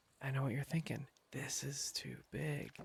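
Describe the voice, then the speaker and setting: Soft-spoken and somewhat breathy, a man with a medium pitch talks at a fairly slow pace. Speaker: gaming ASMR sleep channel host. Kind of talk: sleep-aid gameplay commentary.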